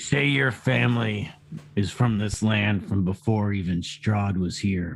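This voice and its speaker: Using a raspy, put-on character voice, a man with a fairly low pitch speaks at a fairly slow pace. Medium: actual play. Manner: probing, deliberate.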